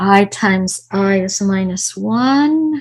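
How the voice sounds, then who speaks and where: The recording is very clean, with a silent background. A woman speaks at a medium pitch in a somewhat breathy voice. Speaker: mathematics professor. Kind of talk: lecture.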